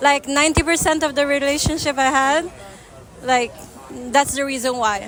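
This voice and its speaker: A woman speaks in a high voice. Background noise is noticeable. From Italy. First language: Italian. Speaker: street interviewee. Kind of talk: street interview. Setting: outdoors.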